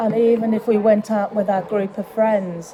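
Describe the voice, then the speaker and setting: A woman at a medium pitch with flat, monotone intonation and noticeable background noise. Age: 60s. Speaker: charity trustee. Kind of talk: interview. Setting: leisure centre cafe.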